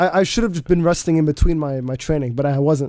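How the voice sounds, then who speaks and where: The man's tone is dark and mellow. His pitch moves in an ordinary way. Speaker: radio host. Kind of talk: casual chat.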